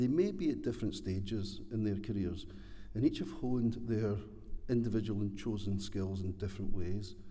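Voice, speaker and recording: A man speaks with a Scottish accent in a dark, mellow tone, somewhat breathy, with ordinary pitch variation and audible room echo. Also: fairly low pitch for a man, moderate pace. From Scotland. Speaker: award presenter, training board executive. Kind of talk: prepared speech.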